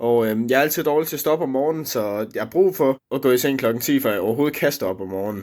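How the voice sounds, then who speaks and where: A man talks at a fairly quick pace, his pitch varying in an ordinary way. The background is silent on this very clean recording. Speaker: vlogger. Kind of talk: casual vlog monologue. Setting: at home, own room. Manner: hesitant, many fillers.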